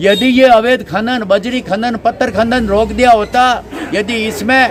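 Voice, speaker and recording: A man is talking while noticeable background noise carries on. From Rajasthan, Jodhpur district. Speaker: villager with a complaint. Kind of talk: interview. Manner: animated.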